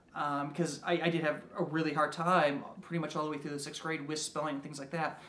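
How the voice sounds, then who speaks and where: A man speaks at a fairly high pitch. The room echo is audible. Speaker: game designer and writer. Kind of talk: casual monologue. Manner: halting, many fillers and repeats.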